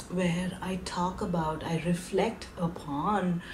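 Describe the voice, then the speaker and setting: Speaking at a very slow pace, a woman has a fairly low pitch, with light background noise behind her. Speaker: vlogger. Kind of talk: casual vlog chat.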